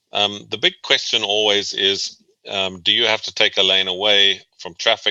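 With a South African accent, a man speaks at a moderate pace in a fairly low pitch, monotone and flat, with a bright, sharp tone and a dry, close sound with no echo. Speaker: transportation planner and researcher. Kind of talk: interview.

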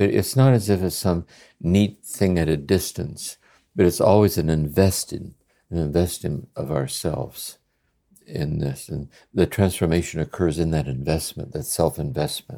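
A man speaks at a moderate pace with a very deep, low pitch and a dark, mellow tone. Vocal fry runs through his ordinary pitch variation. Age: 80s+. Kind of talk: contemplative dialogue. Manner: reflective, halting with fillers.

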